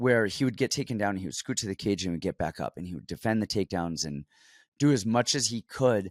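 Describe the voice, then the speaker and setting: Recorded very cleanly against a silent background, a man with a plain, everyday voice at medium pitch uses lively intonation. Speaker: MMA fight analyst. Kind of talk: casual sports betting breakdown.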